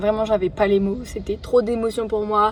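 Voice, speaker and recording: A woman's fairly high voice at a moderate pace. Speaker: vlogger. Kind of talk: vlog diary. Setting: in a car.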